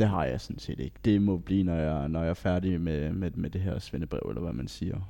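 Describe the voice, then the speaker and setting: A man talks at a moderate pace with very deep, low pitch and a dark, mellow tone. His intonation is lively. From Denmark, Funen (Bellinge, Odense). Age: 19. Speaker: vocational student, retail trainee. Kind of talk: casual interview. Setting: meeting room. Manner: halting.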